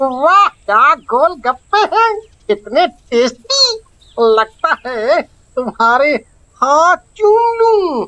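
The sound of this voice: A cartoonish character voice, high-pitched and very slow, with very wide pitch swings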